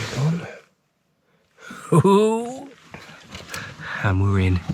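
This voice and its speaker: A man speaks quietly with an English accent. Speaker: vlogger. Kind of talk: vlog narration. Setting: inside a car.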